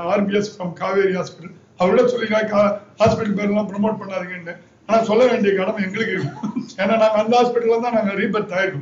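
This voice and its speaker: A high-pitched man speaks with fairly even intonation amid noticeable background noise and audible room echo. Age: 50s. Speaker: kidney transplant patient. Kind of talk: testimony.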